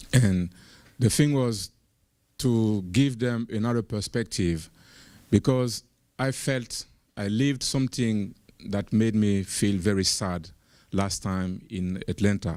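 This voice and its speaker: In a dark, mellow tone with an American accent, the speaker goes at a very slow pace with long, frequent pauses and ordinary pitch variation, on a very clean recording with a silent background. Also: man, fairly low pitch for a man. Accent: foreign accent noticed in US. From Burkina Faso. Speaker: panel speaker, activist. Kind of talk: panel discussion storytelling. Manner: halting, many fillers and repeats.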